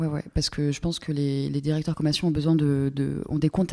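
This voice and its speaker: The delivery proceeds at a moderate speed. Its tone stays flat and monotone throughout. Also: woman. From Normandy, France. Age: 20s. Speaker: art director. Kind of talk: interview. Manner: hesitant, many fillers.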